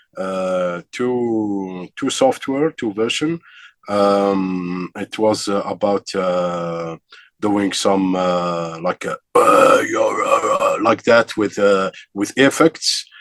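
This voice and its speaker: The man talks at a very slow pace, and the sound is dry and close with no echo. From Algeria. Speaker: metal vocalist and vocal teacher. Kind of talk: interview. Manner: halting, many fillers.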